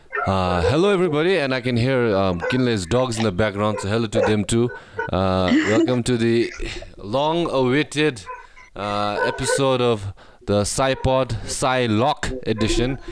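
The speaker talks at a moderate pace with lively intonation and very even loudness. The sound is dry with no echo, over loud background noise. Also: man. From Bhutan. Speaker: podcast co-host. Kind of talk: casual chat. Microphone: video call.

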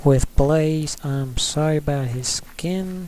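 A man's dark, mellow tone with a fairly high pitch. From rural US. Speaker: Minecraft youtuber. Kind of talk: casual gameplay commentary. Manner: casual, rambling.

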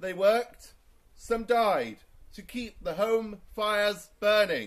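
Against a quiet background, a man talks at a very slow pace. His pitch varies in an ordinary way. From England. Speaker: town crier. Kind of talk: town crier proclamation in rhyming verse. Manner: loud, projected, formal. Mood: solemn and commemorative. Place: garden. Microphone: camera far.

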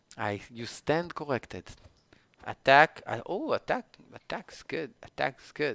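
With a non-native accent, the speaker talks at a fairly slow pace in a dry sound with no echo. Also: man. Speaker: gaming streamer. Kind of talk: gameplay commentary. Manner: animated; halting. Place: home room.

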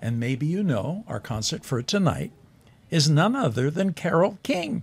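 At a moderate pace, a man's pitch swings very widely. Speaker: talk show host. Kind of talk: casual TV host chat. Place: studio. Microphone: studio mic.

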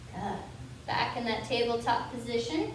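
In a room with strong echo and light background noise, a woman speaks at a high pitch and a moderate pace. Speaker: fitness instructor. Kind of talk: guided yoga class. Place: gym.

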